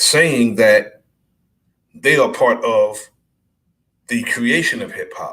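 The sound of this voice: A man's fairly bright voice with ordinary pitch variation and audible echo from the room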